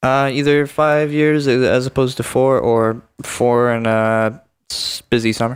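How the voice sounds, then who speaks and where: Speaking at a fairly slow pace, a man has fairly even intonation, a medium pitch and an unremarkable speaking voice. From Canada, Ontario (Muskoka). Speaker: university student. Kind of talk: casual chat.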